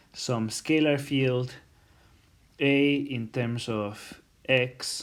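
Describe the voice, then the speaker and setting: With ordinary pitch variation, a man speaks at a medium pitch. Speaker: university lecturer. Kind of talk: recorded lecture. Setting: self-recorded lecture video. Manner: slow; halting, many fillers.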